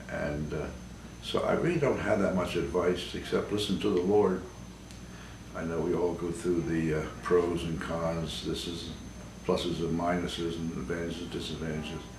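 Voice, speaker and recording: In an American accent, a man with a very deep, low pitch speaks at a moderate pace and fairly even intonation, with audible room echo. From US, Baltimore, Maryland. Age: 80s+. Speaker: priest. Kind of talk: interview testimony. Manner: halting, many fillers.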